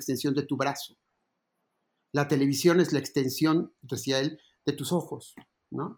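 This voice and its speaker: A man's fairly high voice with fairly even intonation at a moderate pace. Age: 60s. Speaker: advertising creative and musician. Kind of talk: interview. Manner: halting, many repetitions and fillers.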